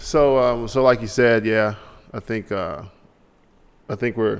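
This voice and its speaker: Over a very clean recording with a silent background, a man talks at a moderate pace in a plain, everyday voice with a fairly low pitch. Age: 30s. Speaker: podcast host. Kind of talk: casual chat.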